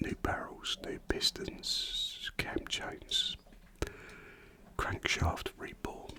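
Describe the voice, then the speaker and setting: Someone is whispering. Noticeable background noise can be heard behind the voice. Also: man. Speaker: motorcyclist. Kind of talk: ASMR casual talk. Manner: whispered.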